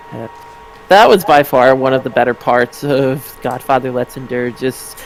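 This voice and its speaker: Music plays in the background. The speaker keeps a moderate pace with fairly even intonation. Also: man. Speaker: streamer and video commentator. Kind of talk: casual chat.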